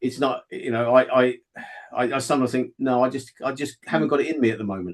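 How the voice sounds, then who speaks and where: A man speaks very fast in a southern English accent. His pitch is medium, with ordinary variation. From southeast England. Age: 60s. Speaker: fiction author. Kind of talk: interview. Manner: halting, many repetitions.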